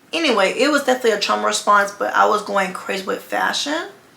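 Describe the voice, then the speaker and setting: Amid noticeable background noise, a woman keeps up a fairly quick pace. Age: 20s. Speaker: fashion designer, content creator. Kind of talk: casual storytime talk to camera. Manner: fast.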